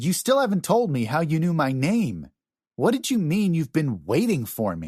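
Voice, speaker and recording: Over a quiet background, a man does a put-on character voice at a moderate pace, pitched fairly high with very wide pitch swings. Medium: read story. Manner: wary, direct.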